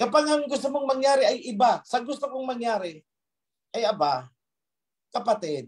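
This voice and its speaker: At a moderate pace, a man with an extremely high pitch uses lively intonation and leaves long, frequent pauses. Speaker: religious leader. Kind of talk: sermon. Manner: stern, forceful.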